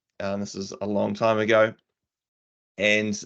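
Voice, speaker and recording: In a New Zealand accent, a man speaks at a fairly low pitch with monotone, flat intonation against a quiet background. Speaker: tech community speaker. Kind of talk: casual chat.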